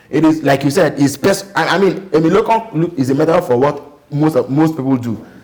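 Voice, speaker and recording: A man speaks at a fairly high pitch and fairly quick pace with ordinary pitch variation and hardly any pauses. Background noise is noticeable. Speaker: TV talk show host. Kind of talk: political talk show discussion. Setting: TV studio.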